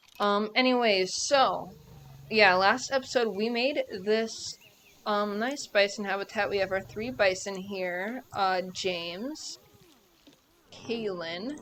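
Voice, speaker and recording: A woman talks very slowly. Her pitch is medium and varies in an ordinary way. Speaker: gaming video creator. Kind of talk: gameplay commentary. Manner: casual, filler-heavy.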